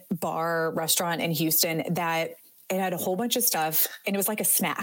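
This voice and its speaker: The woman's pace is moderate. She talks with an American accent. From northeast Ohio, US. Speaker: nurse. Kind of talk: casual chat. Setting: video call.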